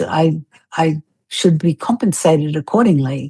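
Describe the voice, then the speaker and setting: Recorded dry and close with no echo, a woman talks at a moderate pace in a dark, mellow, somewhat breathy tone with ordinary pitch variation. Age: 60s. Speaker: fitness instructor. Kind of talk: interview.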